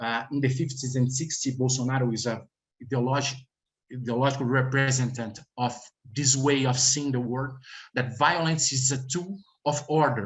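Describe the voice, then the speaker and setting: Somewhat breathy speech with a Brazilian accent, at a moderate pace in monotone, flat intonation. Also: man. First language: Portuguese. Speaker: researcher. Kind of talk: panel presentation. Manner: halting.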